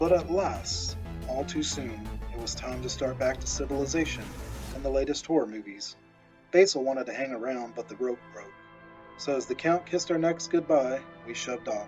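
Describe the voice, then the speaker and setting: With music in the background, a man speaks at a moderate pace as his loudness swings widely. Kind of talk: horror story narration.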